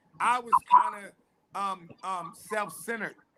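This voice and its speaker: A man speaks in a raised, projected voice, high-pitched with a bright, sharp tone. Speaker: pastor. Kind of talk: testimony. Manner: loud.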